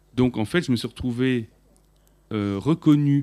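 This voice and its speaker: At a very slow pace, the speech comes in a dark, mellow tone. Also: man, very clean recording, silent background. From France (Paris), Armenian heritage. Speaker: musician, audience member. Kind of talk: audience question.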